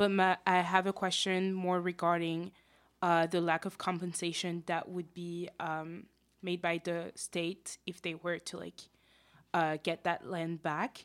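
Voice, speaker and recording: A woman speaks with a French accent at a fairly slow pace. Her voice is fairly low, with monotone, flat intonation. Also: very clean recording, silent background. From France. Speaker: student panelist. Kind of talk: radio panel discussion. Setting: radio studio.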